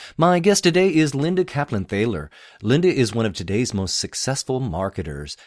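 In a dry, close recording with no echo, a man with medium pitch and vocal fry speaks at a moderate pace with very wide pitch swings. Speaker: radio host. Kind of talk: scripted intro and interview questions.

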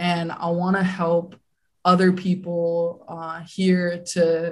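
A woman's fairly low, somewhat breathy voice. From Hawaii. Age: 20s. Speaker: real estate investor. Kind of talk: interview.

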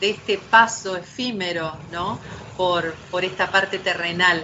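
A woman with an Argentine accent and fairly even intonation. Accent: Argentine Spanish (Rioplatense, voseo). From Argentina. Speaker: poet and novelist. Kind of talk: interview conversation. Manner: hesitant, many fillers and repetitions.

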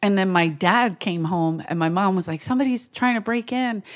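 Speaking at a fairly quick pace in a Philadelphia accent, a woman with a medium pitch uses lively intonation and an animated tone, captured in a very clean recording with a silent background. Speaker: comedian. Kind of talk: casual chat.

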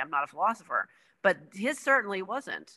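Bright and sharp in tone, a woman's medium-pitched voice comes through on a very clean recording with a silent background. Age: 40s. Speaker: writer. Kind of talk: casual chat.

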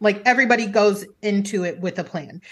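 A woman's speech proceeds at a moderate pace over a quiet background. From grew up overseas in a military family. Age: 30s. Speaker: podcast host and stand-up comedian. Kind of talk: casual chat.

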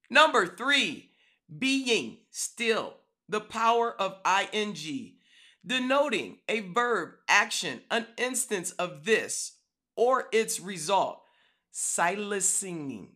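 A woman speaks loudly and very slowly, with a fairly high pitch, a bright, sharp tone, and lively intonation. The recording is very clean, with a silent background. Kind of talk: devotional talk.

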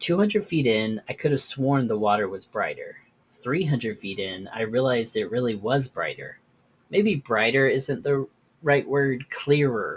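Somewhat breathy, a man talks at medium pitch and a fairly slow pace with lively intonation. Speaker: podcast host. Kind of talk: horror story narration, read aloud from a written tale.

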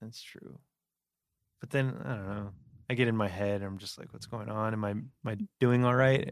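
At a moderate pace, a man with a fairly low pitch and ordinary pitch variation leaves long, frequent pauses while his loudness swings widely. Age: 20s. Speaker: podcast host. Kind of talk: casual chat. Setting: studio.

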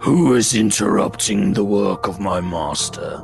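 A man's gravelly, put-on character voice, fairly low in pitch, at a moderate pace with clear music in the background

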